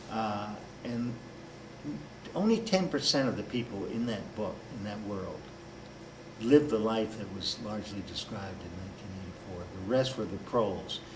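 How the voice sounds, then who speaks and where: A man with an American accent and a fairly low pitch speaks at a moderate pace with ordinary pitch variation, long, frequent pauses and audible room echo. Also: big swings in loudness. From Washington DC area. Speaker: author and political activist. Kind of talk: interview.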